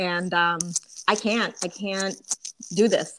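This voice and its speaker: A plain, everyday voice from a woman, with ordinary pitch variation. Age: 40s. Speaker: podcast host. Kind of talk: casual chat.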